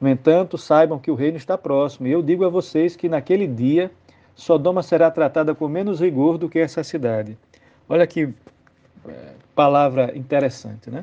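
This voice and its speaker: A man's fairly high-pitched, dark, mellow voice at a moderate pace, with ordinary pitch variation and long, frequent pauses. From Brazilian Northeast. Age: 40s. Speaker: Anglican clergy / Bible reflection speaker. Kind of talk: biblical reflection, homily-style.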